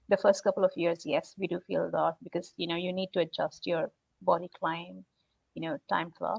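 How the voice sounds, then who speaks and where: Speaking at a moderate pace, a woman has an Indian accent. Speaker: salesperson. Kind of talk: live video interview. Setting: live video stream.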